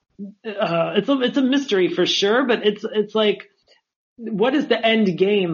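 The pace is moderate as a man speaks. Pitch moves in an ordinary way. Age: 40s. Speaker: comedian and horror podcast host. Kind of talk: casual chat.

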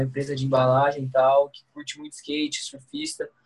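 At a moderate pace, a man speaks with a fairly high pitch and a somewhat breathy quality. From Brazil, Guaratinguetá, São Paulo state. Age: 20s. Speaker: pro skateboarder. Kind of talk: casual chat.

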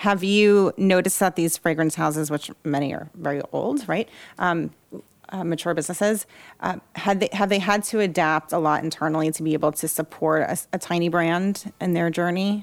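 On a very clean recording with a silent background, a woman with an ordinary speaking voice talks at a moderate pace with a fairly low pitch and ordinary pitch variation. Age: 40s. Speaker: podcast host and creative agency founder. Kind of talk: interview conversation. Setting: studio, sitting next to guest.

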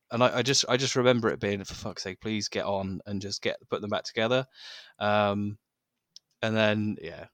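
A man with an English accent talks at a moderate pace, his pitch fairly low and his intonation fairly even. The sound is dry and close, with no echo. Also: very clean recording, silent background. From England. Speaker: podcast host. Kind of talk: casual chat. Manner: halting, many fillers and repetitions.

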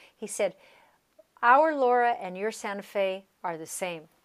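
A woman speaks at a fairly slow pace with lively intonation. The recording is very clean, with a silent background. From US West, Colorado (San Luis Valley), Southern Ute. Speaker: percussionist and music professor. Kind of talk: interview conversation.

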